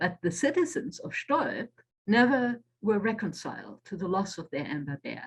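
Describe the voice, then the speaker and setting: Somewhat breathy, a woman speaks at a medium pitch. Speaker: author. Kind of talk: lecture. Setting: video call.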